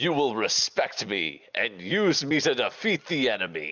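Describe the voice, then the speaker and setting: A man's put-on character voice at medium pitch, full of very wide pitch swings. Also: moderate pace. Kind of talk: put-on weapon voice. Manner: commanding, imperious.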